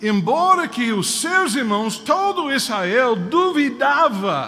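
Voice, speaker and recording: A man uses a raised, projected voice with very wide pitch swings. Audible room echo follows his words. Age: 60s. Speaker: preacher. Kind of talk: sermon. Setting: church.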